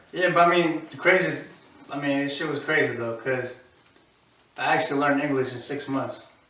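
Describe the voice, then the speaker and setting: A man at fairly high pitch and a fairly quick pace, fairly even in intonation, with long, frequent pauses, audible room echo and noticeable background noise. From Albania, moved to Philadelphia at eight. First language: Albanian. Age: 20s. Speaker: rapper. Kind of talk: casual interview.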